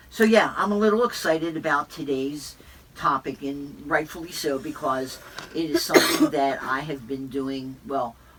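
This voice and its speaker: Background noise is noticeable throughout. The talking is fairly slow. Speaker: podcast host and fitness instructor. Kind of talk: casual podcast chat. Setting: studio. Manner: animated.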